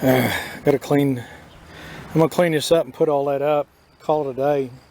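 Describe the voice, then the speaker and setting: A man's monotone, flat intonation comes through over noticeable background noise. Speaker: woodworking hobbyist. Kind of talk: tutorial. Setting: outdoors workshop. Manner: casual, halting.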